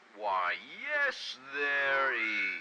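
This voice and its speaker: Over loud background noise, a put-on character voice speaks at a low-to-middle pitch. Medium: solo performance.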